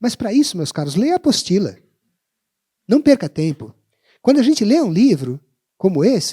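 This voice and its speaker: This man talks at a moderate pace with long, frequent pauses, his high voice making very wide pitch swings in a dark, mellow tone. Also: dry, close sound with no echo. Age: 60s. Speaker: education professor and panelist. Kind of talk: panel talk.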